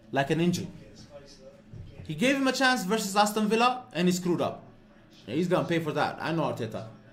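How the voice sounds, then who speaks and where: Speaking very fast but with long, frequent pauses, a man uses a high pitch with very wide swings, amid audible room echo. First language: Amharic. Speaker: football fan streamer. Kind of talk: live watch-along commentary. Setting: live stream. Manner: animated.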